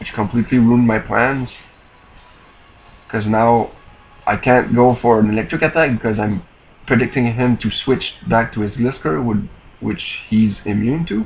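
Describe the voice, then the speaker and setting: With music in the background, a man speaks at a moderate pace, leaving long, frequent pauses. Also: medium pitch for a man. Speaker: gaming commentator. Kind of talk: game commentary voice-over. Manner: monotone.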